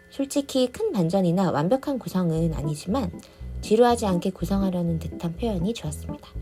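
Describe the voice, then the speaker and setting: Music plays in the background. A woman talks at a fairly quick pace over it. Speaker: drama reviewer. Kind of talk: casual review narration.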